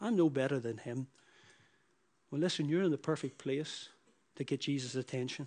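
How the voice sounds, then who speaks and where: Against a quiet background, a man with a Northern Irish accent talks at a moderate pace with long, frequent pauses, his pitch fairly high with ordinary variation. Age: 40s. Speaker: preacher. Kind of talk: sermon. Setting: church.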